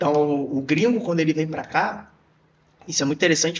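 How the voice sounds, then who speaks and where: With a Carioca accent, this man talks at a fairly quick pace in a high voice for a man. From Rio de Janeiro, Brazil. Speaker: podcast host and dancer. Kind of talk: casual podcast conversation.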